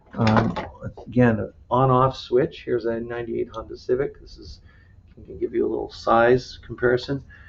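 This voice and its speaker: Noticeable background noise runs through the clip. A man speaks over it. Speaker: automotive instructor. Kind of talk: lecture. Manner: fast.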